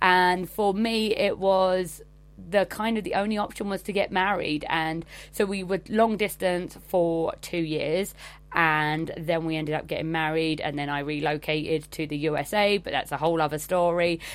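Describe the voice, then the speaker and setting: A woman speaks at a moderate pace with fairly low pitch and fairly even intonation. The recording is very clean, with a silent background. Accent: English. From England. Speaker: travel blogger. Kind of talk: recorded monologue.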